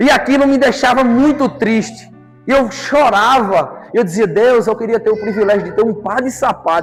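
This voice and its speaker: Noticeable background noise sits behind this speaker. He is a man with a high-pitched voice. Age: 30s. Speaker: lay preacher. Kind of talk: sermon.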